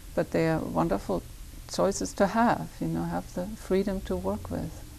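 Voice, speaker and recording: In a German accent, a woman speaks at a moderate pace. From Germany, Hamburg. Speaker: poet and poetry teacher. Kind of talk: interview. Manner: halting.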